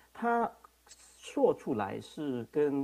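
A man speaks with a non-native accent in a dark, mellow tone. His pitch swings very widely. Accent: non-native Mandarin. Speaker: internet governance board member and registry CEO; remote panelist. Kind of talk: panel response. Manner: halting. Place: home room. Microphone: video call.

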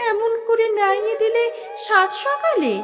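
A woman's voice moves in very wide pitch swings. Music sounds behind her. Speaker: recitation artist. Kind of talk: poetry reading.

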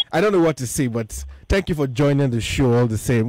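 A man speaks with a dry sound and no echo. Background noise is noticeable. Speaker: radio show host. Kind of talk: radio host chat and interview questions. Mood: cheerful, laughing. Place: studio. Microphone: studio mic.

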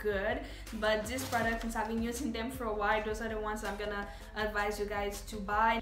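A woman's voice with audible room echo and faint music in the background. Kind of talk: product review vlog. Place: home room. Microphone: camera far.

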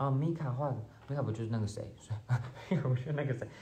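This is a man talking. His pitch shows ordinary variation. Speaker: actor. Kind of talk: livestream gift unboxing chat. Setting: solo phone livestream with earphone mic. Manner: casual, occasionally halting. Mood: cheerful, amused. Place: home room. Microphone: phone near.

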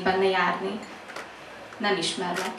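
A woman talks at a fairly quick pace over light background noise, with audible echo from the room. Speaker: slam poet. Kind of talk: slam poetry performance, intimate confessional love poem. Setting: stage with audience. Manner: hushed, intimate, teasing, building rhythmically with repeated 'what if' lines. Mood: intimate, expressive. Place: cafe.

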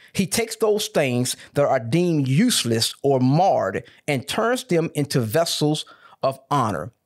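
A man talks fairly slowly, his pitch swinging very widely, with quiet behind him. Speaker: pastor. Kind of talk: sermon. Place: studio. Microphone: studio mic.

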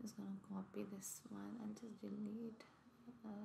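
A woman is speaking. She is soft-spoken. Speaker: software testing tutor. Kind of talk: screen-share coding tutorial. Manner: halting.

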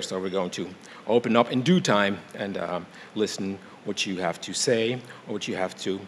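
Against light background noise, a man with a fairly low pitch and ordinary pitch variation speaks at a moderate pace in an ordinary speaking voice. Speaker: event moderator. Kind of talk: event introduction. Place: hall. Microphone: podium.

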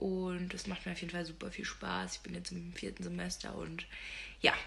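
Against clear background noise, a woman speaks at a fairly quick pace in a fairly low pitch with vocal fry and little pitch movement.

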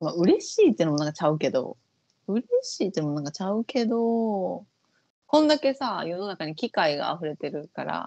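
Against a quiet background, a woman speaks in a Kansai accent, the sound dry with no echo. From Japan. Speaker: vocal coach and YouTube host; vocal coach, YouTube host. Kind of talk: casual chat reacting to an audition show. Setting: online call. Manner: fast. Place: home room. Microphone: earbuds.

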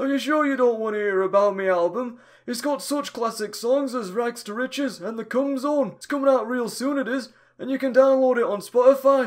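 A man does a put-on character voice at an extremely high pitch. He moves at a fairly quick pace in a very clean recording with a silent background. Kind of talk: comic parody voice acting. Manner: chatty, boastful, easygoing.

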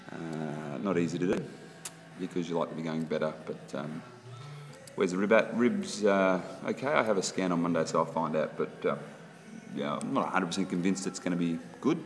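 A man's very deep, low voice at a fairly quick pace, ordinary pitch variation, and clear music in the background. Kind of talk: casual vlog chat. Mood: reflective, slightly frustrated. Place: gym. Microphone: phone near.

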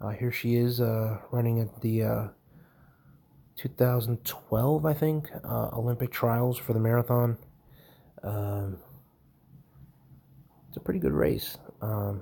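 A man speaks at a very slow pace with long, frequent pauses and ordinary pitch variation. His tone is dark and mellow, and somewhat breathy. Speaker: home tool reviewer. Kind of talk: casual narration over screen recording. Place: home room.

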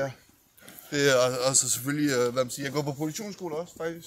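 A man with a fairly high pitch talks at a moderate pace and ordinary pitch variation, with noticeable background noise behind him. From USA and Denmark. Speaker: rapper. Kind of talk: casual chat.

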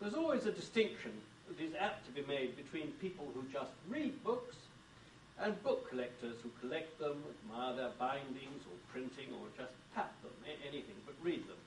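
A man's fairly high, somewhat breathy voice with a British accent, very wide pitch swings and a moderate pace. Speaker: book editor and bibliophile. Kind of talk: lecture. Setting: stage with audience.

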